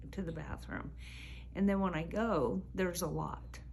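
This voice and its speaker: A woman's voice carries audible room echo. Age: 70s. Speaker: spa client receiving treatment. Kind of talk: interview testimony.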